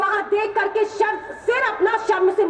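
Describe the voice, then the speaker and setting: A woman's extremely high, passionate voice over crowd noise in the background. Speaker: student organisation national general secretary, political speaker. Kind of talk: fiery political rally speech to a crowd. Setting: outdoor rally, PA system. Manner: passionate, forceful, indignant.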